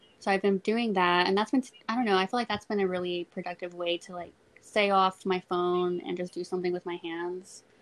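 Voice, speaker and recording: Here is a plain, everyday voice with an American accent and fairly even intonation. The sound is dry and close, with no echo. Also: woman, medium pitch for a woman. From South Texas, Corpus Christi. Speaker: period poverty activist. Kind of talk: interview.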